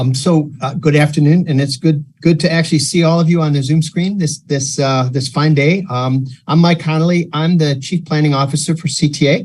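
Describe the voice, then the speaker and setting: Somewhat breathy and fairly high-pitched, a man talks at a fairly quick pace with fairly even intonation and hardly any pauses. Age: 70s. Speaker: transit agency planning executive. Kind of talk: meeting introduction. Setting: video call. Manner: halting.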